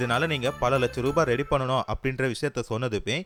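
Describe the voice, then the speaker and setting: With music playing in the background, a man speaks at medium pitch. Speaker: movie explainer, Tamil voice-over narrator. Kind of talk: movie story narration / explainer.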